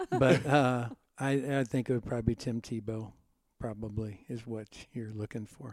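This man has a normal speaking voice with an American accent. He talks at a moderate pace with fairly even intonation and big swings in loudness. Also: medium pitch for a man. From US Midwest (Cincinnati, Ohio). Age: 50s. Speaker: pastor. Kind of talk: interview.

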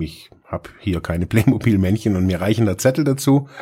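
A man's fairly low, dark, mellow voice with lively intonation at a fairly quick pace. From German-speaking region, small village. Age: 40s. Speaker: social worker and podcast host. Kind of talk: solo podcast monologue. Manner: halting, many fillers and repetitions.

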